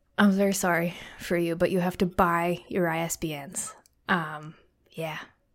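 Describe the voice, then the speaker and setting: In a monotone, flat delivery, a woman speaks at a moderate pace with fairly low pitch on a very clean recording with a silent background. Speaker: podcast host. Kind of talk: casual chat.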